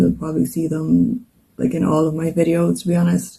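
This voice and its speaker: The speech comes at a moderate pace with an Irish accent. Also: woman. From Ireland. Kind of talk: casual talk to camera.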